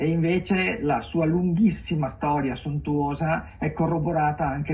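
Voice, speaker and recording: Over noticeable background noise, a man with a slight Venetian accent talks at a fairly high pitch with ordinary pitch variation. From Venice, Italy. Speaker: writer. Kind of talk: TV interview. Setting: live streamed TV interview. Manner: halting, many fillers.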